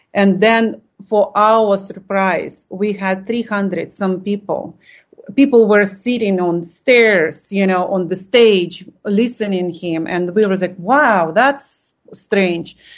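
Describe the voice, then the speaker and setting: With a Russian accent, a woman speaks at a very slow pace. Her pitch is medium and varies in an ordinary way. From Lithuania. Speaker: art supplies company co-founder. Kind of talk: interview. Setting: video call.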